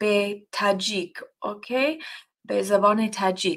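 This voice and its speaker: A woman's very slow speech with lively intonation. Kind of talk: casual introduction to Bible study. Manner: halting, with hesitations.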